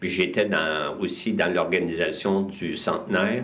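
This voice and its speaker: There is audible echo in the room. A man talks very slowly at a fairly low pitch. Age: 70s. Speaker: community club volunteer. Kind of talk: interview.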